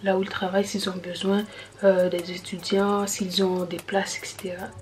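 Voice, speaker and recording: The speaker is soft-spoken, with monotone, flat intonation at a moderate pace. Noticeable background noise sits behind the voice. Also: woman. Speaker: YouTuber giving advice on student jobs. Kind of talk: casual vlog. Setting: at home late at night, family asleep. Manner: soft-spoken, talking quietly.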